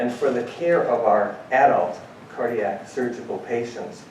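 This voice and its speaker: A man speaks fairly slowly, with audible echo from the room and noticeable noise behind him. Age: 60s. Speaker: cardiac anesthesiologist. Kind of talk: panel talk. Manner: halting.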